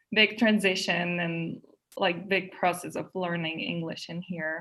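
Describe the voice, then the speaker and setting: In a Czech accent, the voice has a bright, sharp tone and a fairly slow pace. The intonation is monotone and flat. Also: woman, fairly low pitch for a woman. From Czech Republic, Prague. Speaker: English teacher trainee, graduate student. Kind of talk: interview.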